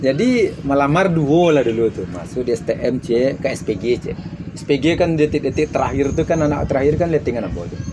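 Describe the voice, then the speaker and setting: Background noise is noticeable throughout. A man speaks fairly quickly, his intonation lively. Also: fairly high pitch for a man. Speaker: traditional artist. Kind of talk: casual interview.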